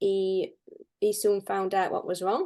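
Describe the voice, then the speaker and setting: A woman speaks with a Yorkshire accent. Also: quiet background. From northern England (Barnsley, Yorkshire). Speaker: pet and house sitter. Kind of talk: interview.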